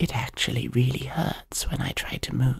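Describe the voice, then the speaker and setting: The speaker whispers at a very slow pace. The tone is playful. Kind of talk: ASMR roleplay, scripted fantasy monologue. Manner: hushed, soft-spoken, intimate whisper-like storytelling; wry, playful, slightly exasperated character voice.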